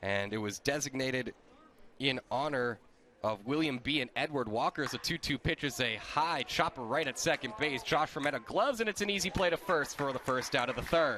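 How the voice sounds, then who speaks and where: A man's ordinary speaking voice, fairly high and fairly quick, with lively intonation. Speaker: sports play-by-play announcer. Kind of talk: baseball play-by-play broadcast.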